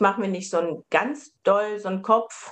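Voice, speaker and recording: A woman is speaking. Her pitch is medium. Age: 50s. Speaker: family and couples counselor. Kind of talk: casual interview. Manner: hesitant, many filler sounds.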